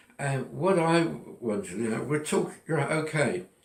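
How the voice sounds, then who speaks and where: A man's fairly high voice with lively intonation and audible room echo. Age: 80s+. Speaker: retiree sharing personal philosophy. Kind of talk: personal monologue. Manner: halting.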